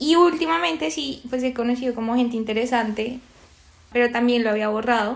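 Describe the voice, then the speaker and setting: A woman talks at a fairly quick pace. Her voice is high. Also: ordinary pitch variation. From Colombia, Bogotá. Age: 20s. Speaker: psychologist and podcast co-host. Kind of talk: casual chat.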